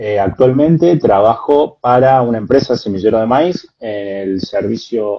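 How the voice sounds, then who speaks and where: A man talks fairly slowly, varying his pitch in an ordinary way. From Córdoba, Argentina. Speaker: agronomist. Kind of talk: live stream interview. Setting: video call from home.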